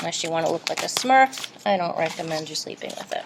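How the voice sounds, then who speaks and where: Noticeable background noise sits behind speech with lively intonation. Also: woman. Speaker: art teacher. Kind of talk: tutorial.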